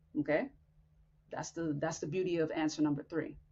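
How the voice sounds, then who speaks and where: The speaker is a woman. Her voice carries some breathiness. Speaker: podcast host. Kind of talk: motivational talk. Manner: blunt.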